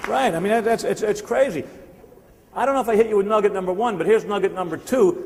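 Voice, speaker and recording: Spoken with a New Jersey accent, the voice has an animated tone over noticeable background noise. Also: man. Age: 60s. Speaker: sales speaker. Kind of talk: motivational seminar talk. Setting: stage with audience.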